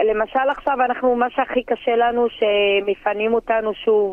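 A woman uses a normal speaking voice, fairly high in pitch, with fairly even intonation and a fairly slow pace. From Druze village on Mount Carmel, northern Israel. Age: 40s. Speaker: interviewee, local hero. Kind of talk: interview testimony.

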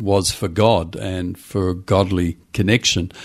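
A man with an Australian accent talks in a fairly low pitch. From Western Australia, Perth. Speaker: pastor and church consultant. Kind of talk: casual interview. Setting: home study, remote call.

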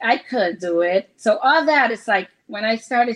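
Speaking at a fairly slow pace, a woman has a fairly high pitch. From Puerto Rico and Hartford, Connecticut. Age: 50s. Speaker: mother telling her life story. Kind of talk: family interview.

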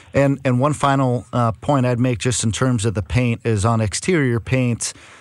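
At medium pitch, a man talks at a moderate pace in an unremarkable speaking voice. His loudness stays very even, and his pitch varies in an ordinary way. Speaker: home improvement consultant. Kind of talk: radio call-in advice. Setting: studio.

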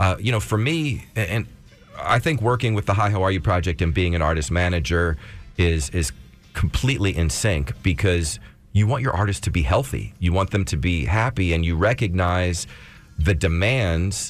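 Music plays behind a man whose very deep, low voice carries lively intonation. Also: moderate pace, very even loudness. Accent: American. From South Philadelphia. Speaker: former music manager and nonprofit founder. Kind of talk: interview. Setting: radio studio.

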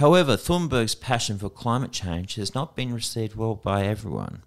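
A man speaks with an Australian accent and lively intonation. The recording is very clean, with a silent background. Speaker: education news presenter. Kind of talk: scripted news reading. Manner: formal, measured.

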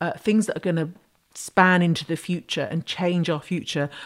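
A woman with a British accent, fairly low pitch and fairly even intonation. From Britain. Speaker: astrology podcast host. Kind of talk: solo podcast talk.

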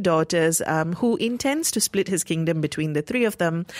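This woman has a normal speaking voice, fairly low in pitch, with lively intonation at a moderate pace. The sound is dry and close, with no echo. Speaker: radio host. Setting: radio studio. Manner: brisk, upbeat and smooth, with a practiced radio cadence.

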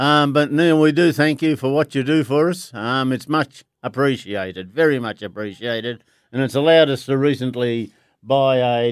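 The background is silent and the recording very clean. A man talks at a moderate pace in an Australian accent. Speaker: charity club member and rugby league fan. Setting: studio.

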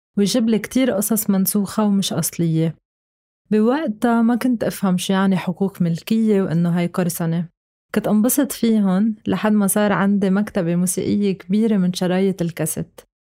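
A woman's dark, mellow tone at a moderate pace, with very even loudness. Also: medium pitch for a woman, ordinary pitch variation. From Lebanon, Beirut. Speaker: music critic and writer. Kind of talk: scripted narration.

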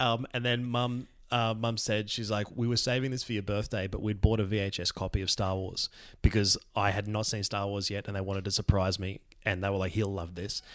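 A man speaks at a fairly quick pace with an Australian accent. His intonation stays fairly even, and the recording is very clean with a silent background. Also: fairly low pitch for a man. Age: 40s. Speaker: comedian. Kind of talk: storytelling. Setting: recording at a friend's house.

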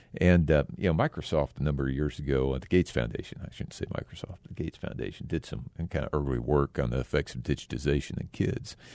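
A man with an American accent and a very deep, low pitch speaks very fast with hardly any pauses, his tone dark and mellow with vocal fry. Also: ordinary pitch variation. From Texas. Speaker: community foundation leader. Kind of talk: radio interview.

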